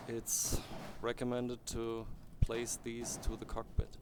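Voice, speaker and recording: A man speaks with a non-native accent at a fairly slow pace. His intonation is monotone and flat. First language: not English. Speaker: game modder. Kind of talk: tutorial. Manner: halting.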